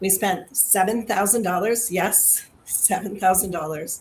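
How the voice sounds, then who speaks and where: The woman's delivery is very slow and somewhat breathy. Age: 60s. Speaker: health program participant. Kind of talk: testimony. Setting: video livestream.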